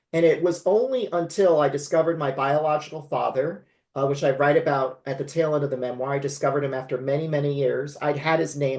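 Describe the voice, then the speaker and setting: A man with an American accent and fairly high pitch, fairly quick pace, fairly even intonation. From California. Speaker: memoir author. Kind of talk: interview conversation.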